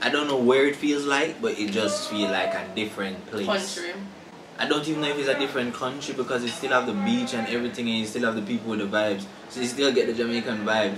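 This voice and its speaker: A man talks at a very fast pace with ordinary pitch variation. Noticeable background noise runs under the recording. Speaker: travel vlogger. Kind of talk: casual vlog chat. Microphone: camera far.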